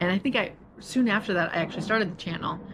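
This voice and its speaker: A woman at a moderate pace. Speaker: lifestyle vlogger. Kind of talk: vlog monologue. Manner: halting, with fillers and restarts; sometimes mumbles.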